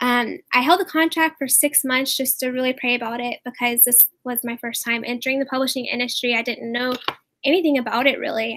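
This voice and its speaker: A woman talks at a fairly quick pace in a high pitch with monotone, flat intonation and a bright, sharp tone, in a dry, close sound with no echo. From upstate South Carolina. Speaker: author. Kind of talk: interview.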